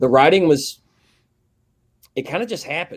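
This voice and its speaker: A man with a strong Southern US accent talks with ordinary pitch variation. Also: very clean recording, silent background. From US South. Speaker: metal band vocalist. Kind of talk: interview. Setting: live broadcast show. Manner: casual, halting.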